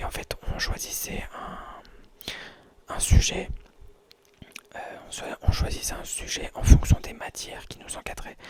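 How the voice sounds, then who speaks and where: Whispering in a relaxed tone over noticeable background noise. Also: man. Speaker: ASMR creator. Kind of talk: casual talk to camera. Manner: relaxed, rambling, whispered.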